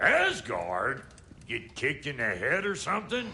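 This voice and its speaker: Using a put-on character voice, a man talks at a moderate pace with a raspy, fairly high pitch, while clear background noise runs underneath. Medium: video game. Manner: drawling, crude.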